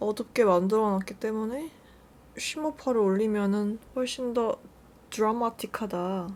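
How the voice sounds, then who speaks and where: At a fairly slow pace, a woman speaks at a fairly high pitch with ordinary pitch variation. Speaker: beauty youtuber. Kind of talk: makeup tutorial chat. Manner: casual, chatty.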